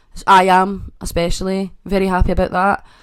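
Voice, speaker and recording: Her pitch fairly low, a woman speaks with a Scottish accent. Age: 20s. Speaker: podcast host. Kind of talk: casual chat. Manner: stutters often.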